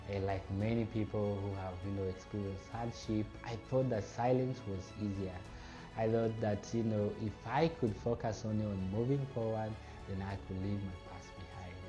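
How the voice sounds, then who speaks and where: With music in the background and audible room echo, a man speaks at a moderate pace, fairly low in pitch, his intonation fairly even. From Democratic Republic of the Congo. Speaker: refugee speaker. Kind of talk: personal testimony talk. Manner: measured, with filler pauses.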